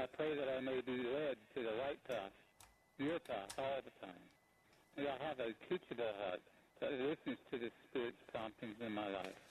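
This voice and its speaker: Medium-pitched male voice, moderate pace, ordinary pitch variation. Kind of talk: fervent prayer. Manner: earnest, devout, halting.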